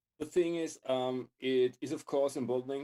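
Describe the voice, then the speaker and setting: Dark and mellow in tone, a man at medium pitch speaks at a fairly quick pace with fairly even intonation, in a dry, close sound with no echo. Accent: non-native. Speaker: music tech YouTuber. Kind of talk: casual chat interview. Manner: repeats words, halting.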